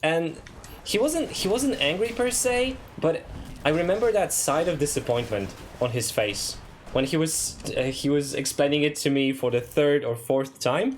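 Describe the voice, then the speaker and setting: Amid noticeable background noise, a man with a Polish accent speaks at a moderate pace and fairly high pitch, using very wide pitch swings while keeping his loudness very even. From Poland. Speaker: streamer. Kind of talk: casual chat. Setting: live stream.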